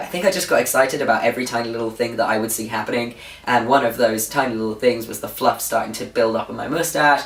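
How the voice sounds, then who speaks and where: In a British accent, the speaker talks at a very fast pace with ordinary pitch variation over noticeable background noise. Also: man. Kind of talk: casual vlog update. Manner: informal, with fillers.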